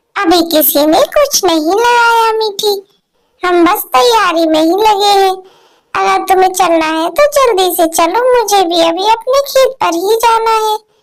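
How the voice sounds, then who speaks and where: In a cartoonish character voice, a woman speaks fairly slowly at an extremely high pitch. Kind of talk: kids' cartoon voicing. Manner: kindly, motherly.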